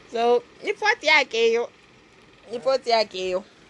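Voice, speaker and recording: Noticeable background noise is present. Over it, a woman talks with a fairly high pitch. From Zambia, Copperbelt. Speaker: podcast co-host. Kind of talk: casual chat. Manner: animated.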